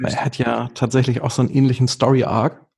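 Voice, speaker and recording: A man talks in an unremarkable speaking voice at a medium pitch. His pace is fairly quick and his intonation fairly even. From northern Germany, near Hamburg. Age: 30s. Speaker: amateur golfer and Instagram creator. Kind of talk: casual interview chat.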